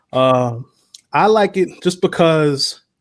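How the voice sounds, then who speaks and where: Here is a man talking. He speaks with a New York accent. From New York City (Spanish Harlem). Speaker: basketball fan commentator. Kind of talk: casual interview.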